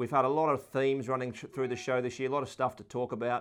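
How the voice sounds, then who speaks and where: A man with an Australian accent speaks at a medium pitch against a quiet background. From Sydney, Australia. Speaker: rugby podcast co-host. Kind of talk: casual sports chat.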